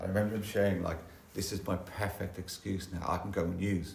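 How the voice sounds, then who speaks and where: A man with a London accent, very deep and low in pitch, flat and monotone at a moderate pace, with audible room echo and music in the background. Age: 60s. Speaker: recovering addict sharing at a support meeting. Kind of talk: testimony. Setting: church hall meeting with audience. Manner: halting, repetitive.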